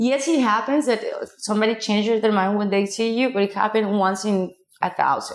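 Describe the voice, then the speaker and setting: A woman talks at a fairly quick pace with fairly high pitch. Her pitch varies in an ordinary way, and her loudness stays very even. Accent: Mexican. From Mexico, small city. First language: Spanish. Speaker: casting director. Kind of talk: interview conversation. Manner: halting, with fillers and restarts.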